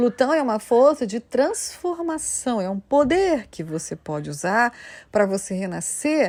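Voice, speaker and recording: A woman speaks at a high pitch and a very slow pace. Her pitch swings very widely. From Rio de Janeiro, Brazil. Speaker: astrologer. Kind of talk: solo video talk. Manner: animated.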